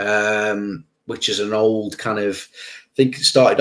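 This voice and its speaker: Speaking with a Stoke accent, a man talks at a fairly slow pace. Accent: Stoke accent, often mistaken for Scouse. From English Midlands, Stoke-on-Trent. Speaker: YouTube reaction channel host. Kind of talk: live stream Q&A, reading chat. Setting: live stream. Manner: casual, energetic.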